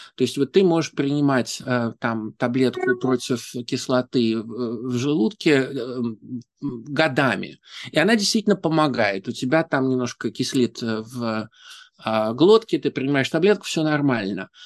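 An ordinary speaking voice with lively intonation moves at a fairly slow pace, recorded with a dry, close sound with no echo over a quiet background. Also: man, medium pitch for a man. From Saint Petersburg, Russia. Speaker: interpreter and university lecturer. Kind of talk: interview. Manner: thoughtful, fluent with filler sounds.

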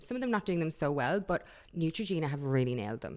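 In an Irish accent, a woman speaks with a very deep, low pitch and lively intonation. The recording is very clean, the background silent. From Ireland (Dublin, then countryside). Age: 30s. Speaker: beauty YouTuber. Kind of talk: casual interview. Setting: studio. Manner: animated.

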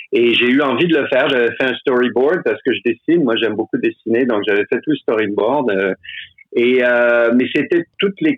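Here is a man with an ordinary speaking voice, medium in pitch. He speaks at a moderate pace with ordinary pitch variation. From Quebec. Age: 60s. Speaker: stage actor. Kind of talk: casual chat.

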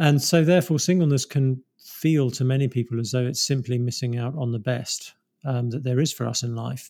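A man with a British accent speaks at a medium pitch in a dark, mellow tone. His intonation is fairly even, and the recording is very clean with a silent background. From England. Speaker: pastor and author. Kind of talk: interview. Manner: halting.

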